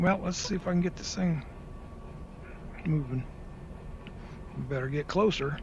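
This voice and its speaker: A man talks with ordinary pitch variation and a moderate pace while noticeable background noise runs underneath. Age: 60s. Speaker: gaming streamer. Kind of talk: gameplay commentary. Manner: casual, halting.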